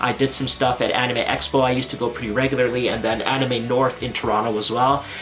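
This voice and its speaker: Medium pitch from a man at a very fast pace with hardly any pauses, over noticeable background noise. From Canada. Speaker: anime content creator. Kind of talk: casual vlog talk to camera. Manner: animated, casual.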